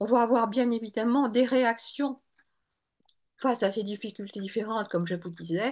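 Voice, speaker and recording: Against a quiet background, a woman with a fairly high pitch speaks at a moderate pace with ordinary pitch variation and long, frequent pauses. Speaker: Bach flower practitioner and author. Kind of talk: webinar lecture. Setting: online webinar.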